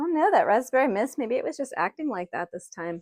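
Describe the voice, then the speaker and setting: Mumbling at a moderate pace with lively intonation, a woman is heard in a dry, close sound with no echo on a very clean recording with a silent background. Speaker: potter, small business owner. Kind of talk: casual talk to camera. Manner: mumbly.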